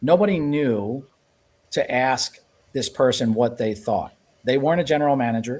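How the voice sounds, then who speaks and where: At a moderate pace, a man speaks in a medium pitch with ordinary pitch variation. He leaves long, frequent pauses. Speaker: lean consultant. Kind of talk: casual chat. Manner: loud.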